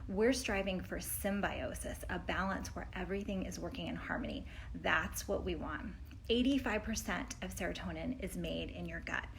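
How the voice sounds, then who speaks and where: Audible room echo surrounds this woman's voice. She speaks at a moderate pace. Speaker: health coach. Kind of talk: educational vlog talk. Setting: indoors at friends' place on trip. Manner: animated.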